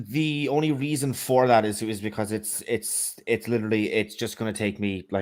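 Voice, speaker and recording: A man with an Irish accent and lively intonation at a moderate pace with hardly any pauses, on a very clean recording with a silent background. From Ireland. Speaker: atheist social commentator. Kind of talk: debate discussion. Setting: live stream call. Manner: halting, many fillers and repeats.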